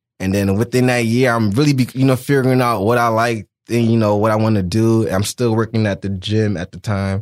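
A man speaks in a plain, everyday voice at a medium pitch and a fairly quick pace, with an American accent. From New Jersey. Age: 20s. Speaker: fashion designer. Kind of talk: casual interview.

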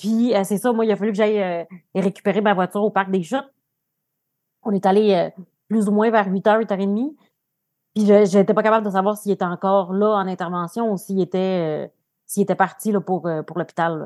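In a dry, close sound with no echo, a woman of medium pitch speaks at a moderate pace with fairly even intonation and long, frequent pauses. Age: 30s. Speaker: social worker, partner of guest. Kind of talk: personal testimony.

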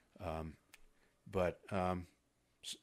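A man with an American accent speaks at a very deep, low pitch with fairly even intonation. The recording is very clean, with a silent background. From US Midwest, Ohio near Cincinnati. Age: 70s. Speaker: retired FBI agent. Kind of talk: interview. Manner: hesitant, many fillers.

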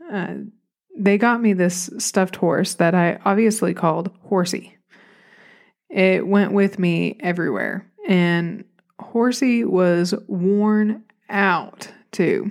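A woman speaks at a very slow pace with a medium pitch and ordinary pitch variation. The recording is very clean, with a silent background. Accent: Southern US. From Arkansas, US South. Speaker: therapist and podcaster. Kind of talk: solo podcast storytelling. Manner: casual, chatty, self-deprecating.

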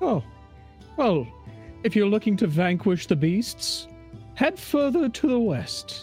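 A put-on character voice at a middle pitch, fairly slow, with clear music in the background. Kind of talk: comic fantasy voice acting. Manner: regal, haughty.

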